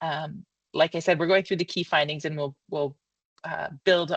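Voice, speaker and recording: A woman speaks with a very deep, low pitch. Her voice is somewhat breathy, and her intonation stays fairly even. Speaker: marketing consultant. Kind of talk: presentation of findings. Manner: fast; halting, many fillers.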